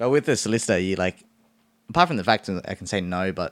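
Very fast, a man with an Australian accent speaks at a very deep, low pitch. The recording is very clean with a silent background and a dry, close sound with no echo. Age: 20s. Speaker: lawyer. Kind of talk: casual chat.

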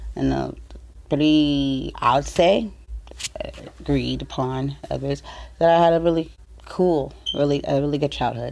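Noticeable background noise sits under speech in an American accent. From San Diego, California. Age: 40s. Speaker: podcast host. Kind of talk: personal monologue. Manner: halting, many fillers.

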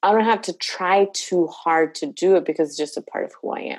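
A woman speaks at a moderate pace in a fairly low pitch. Her pitch varies in an ordinary way. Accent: Spanish. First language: Spanish. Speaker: licensed professional counselor. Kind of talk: casual interview conversation.

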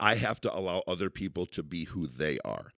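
A man with an American accent and vocal fry speaks at a moderate pace, in a dry, close sound with no echo. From Central New York. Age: 30s. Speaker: car dealership owner. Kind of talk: casual interview.

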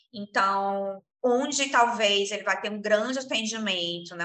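A woman with a bright, sharp tone speaks at a fairly slow pace and ordinary pitch variation. There is audible room echo. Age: 30s. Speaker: entrepreneur, eyewear shop co-owner. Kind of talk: interview.

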